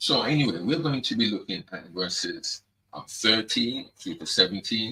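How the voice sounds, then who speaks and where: A man speaks at a moderate pace. His loudness swings a lot. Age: 60s. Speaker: Bible teacher. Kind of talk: Bible study talk. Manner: halting.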